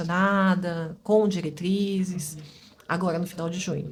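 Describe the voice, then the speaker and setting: Moderate pace, fairly even intonation and a somewhat breathy quality. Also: woman. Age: 40s. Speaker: physiotherapist. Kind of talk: interview.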